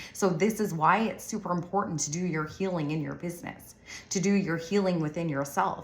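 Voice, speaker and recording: Audible room echo surrounds a woman speaking at a fairly quick pace. Her pitch is fairly low and her intonation fairly even. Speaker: business coach for solo moms. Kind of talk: online course lesson. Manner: casual, conversational.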